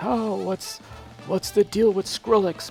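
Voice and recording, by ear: In a put-on character voice at a middle pitch, the speaker goes at a fairly slow pace while clear music plays in the background.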